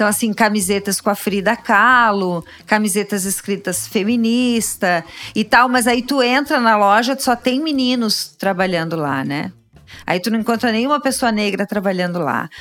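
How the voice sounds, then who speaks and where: The delivery has ordinary pitch variation and a moderate pace. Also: woman, fairly high pitch for a woman. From Rio Grande do Sul, Brazil (Caxias do Sul). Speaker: labor lawyer. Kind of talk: interview. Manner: halting.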